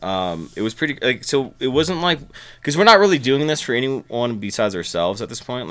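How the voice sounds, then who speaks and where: Delivered at a very fast pace, a man's speech has lively intonation. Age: 20s. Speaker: musician and producer. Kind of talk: casual chat.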